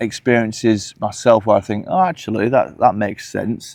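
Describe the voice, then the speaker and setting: Speaking with a Hull accent, a man holds a moderate pace. His pitch is medium, with ordinary variation. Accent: Hull twang. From northern England, Hull. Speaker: UFO commentator vlogger. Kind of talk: casual vlog monologue. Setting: outdoors walking the dogs. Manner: hesitant with fillers.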